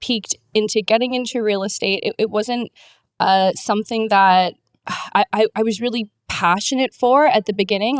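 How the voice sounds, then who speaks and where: In a Canadian accent, an unremarkable speaking voice moves at a moderate pace with fairly even intonation, heard in a dry, close sound with no echo on a very clean recording with a silent background. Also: woman. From Canada. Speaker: real estate agent. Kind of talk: podcast interview.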